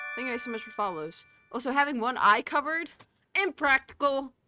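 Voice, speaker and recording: Music in the background behind a woman speaking in an American accent at a moderate pace. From United States. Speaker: cosplayer and gaming streamer. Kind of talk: casual live-stream chat. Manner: slurring words.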